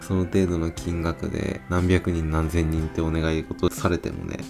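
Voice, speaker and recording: A man's very deep, low voice in a Kansai accent, relaxed in tone, at a moderate pace, with clear music in the background. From Kyoto, Kansai region. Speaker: smoking vlogger. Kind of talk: casual talk to camera. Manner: relaxed, chatty. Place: street.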